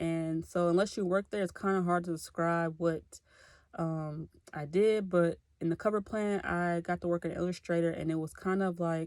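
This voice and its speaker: A woman with an American accent speaks at a moderate pace in a monotone, flat intonation. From Clarksville, Tennessee (US South). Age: 20s. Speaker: graduate student. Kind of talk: self-introduction video. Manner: casual, conversational.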